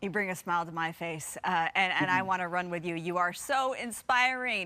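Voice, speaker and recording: A woman's medium-pitched, bright, sharp voice in an enthusiastic tone, with ordinary pitch variation. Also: moderate pace. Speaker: TV news anchor. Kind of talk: TV news interview.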